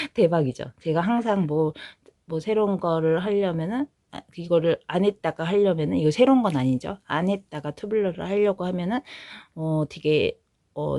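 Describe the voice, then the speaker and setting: Fairly low-pitched with a dark, mellow tone, a woman speaks with ordinary pitch variation in a dry, close sound with no echo, on a very clean recording with a silent background. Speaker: knitting vlogger. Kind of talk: casual vlog chat.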